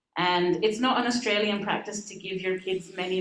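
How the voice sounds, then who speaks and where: Audible room echo surrounds a woman's voice. She speaks at a moderate pace with fairly even intonation. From Australia, Adelaide. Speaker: minister. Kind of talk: talk to congregation.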